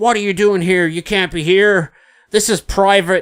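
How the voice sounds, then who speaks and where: Using a put-on character voice, a man speaks with an American accent. His pitch is high, and his pace is moderate. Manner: stern, challenging.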